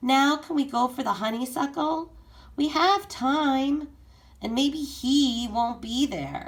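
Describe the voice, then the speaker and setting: A put-on character voice, raised and projected, high-pitched and at a fairly slow pace. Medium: read story. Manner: soft, eager.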